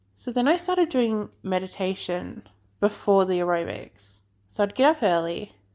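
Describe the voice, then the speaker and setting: A woman speaks with an Australian accent at medium pitch. Her intonation is lively and her pace fairly slow. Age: 30s. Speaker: podcast host. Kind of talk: casual monologue.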